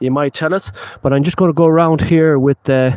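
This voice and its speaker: This man speaks at a fairly high pitch with a western Irish accent. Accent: Irish (west of Ireland). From Ireland, Galway. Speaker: paranormal investigator. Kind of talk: live stream commentary. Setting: outdoors at night. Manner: casual, rambling.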